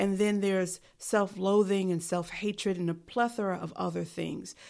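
On a very clean recording with a silent background, a woman with a New York accent speaks at a medium pitch with fairly even intonation. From New York City. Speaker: podcast host and life coach. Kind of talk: solo podcast monologue. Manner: dry.

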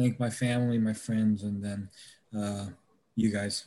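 Recorded very cleanly against a silent background, a man with a normal speaking voice talks at medium pitch and a moderate pace. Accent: American. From US South, Georgia. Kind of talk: casual chat.

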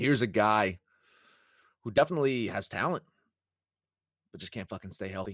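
A man's fairly low voice at a fairly quick pace, with lively intonation, big swings in loudness and long, frequent pauses, on a very clean recording with a silent background and a dry, close sound with no echo. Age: 30s. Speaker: sports betting podcast host. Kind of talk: casual solo sports talk.

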